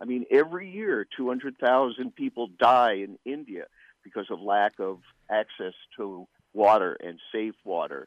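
With an unremarkable speaking voice, a man talks at a fairly slow pace and medium pitch, his intonation lively. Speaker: political writer. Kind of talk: interview. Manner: articulate.

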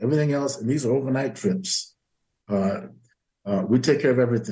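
A somewhat breathy, dark, mellow man's voice at medium pitch, with an American accent and lively intonation. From US South. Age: 80s+. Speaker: history professor emeritus and author. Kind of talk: interview.

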